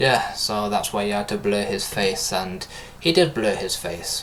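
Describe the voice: Noticeable background noise runs through the clip. A man speaks over it at a moderate speed.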